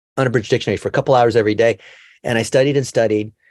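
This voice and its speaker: On a very clean recording with a silent background and a dry, close sound with no echo, a man with an American accent and a medium pitch talks very fast with ordinary pitch variation. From California, US. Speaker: digital marketing expert. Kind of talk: interview.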